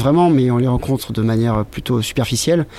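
A man talks at a very fast pace with a medium pitch. His tone is dark and mellow. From Brittany, France. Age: 30s. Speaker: visual artist and long-distance cyclist. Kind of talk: interview.

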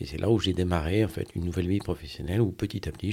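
A man's very deep, low voice, dark and mellow in tone and somewhat breathy, with ordinary pitch variation, in a very clean recording against a silent background. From Brittany, Brest. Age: 50s. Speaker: finance director. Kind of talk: interview testimony. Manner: halting.

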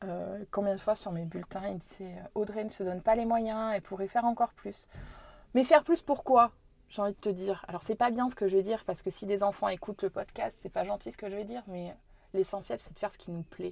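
A woman with a medium-pitched voice talks at a fairly quick pace, her loudness swinging widely and her pitch varying in an ordinary way, on a very clean recording with a silent background. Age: 30s. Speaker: business owner and local politician. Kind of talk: casual interview. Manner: hesitant, many fillers.

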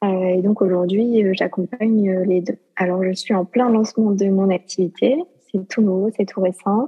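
The speech moves at a fairly slow pace with fairly even intonation. Its loudness stays very even. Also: woman, medium pitch for a woman. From southern France. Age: 20s. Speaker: life coach. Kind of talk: testimony. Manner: hesitant, many fillers.

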